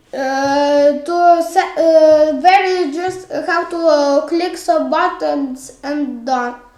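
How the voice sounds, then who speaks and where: A woman speaks at an extremely high pitch and a very slow pace. Noticeable background noise is present. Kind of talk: software tutorial narration. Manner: hesitant, many filler sounds.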